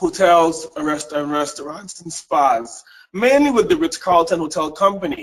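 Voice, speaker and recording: A man with a Caribbean accent speaks at a high pitch and moderate pace, with ordinary pitch variation. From US Virgin Islands (St. Thomas), Caribbean. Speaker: leadership and service excellence speaker. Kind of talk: webinar presentation. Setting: webinar, remote.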